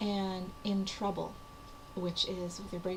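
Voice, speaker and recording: A woman speaks in a flat, monotone way over noticeable background noise, with audible echo in the room. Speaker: writer / vlogger. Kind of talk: casual talk to camera. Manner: hesitant, many fillers.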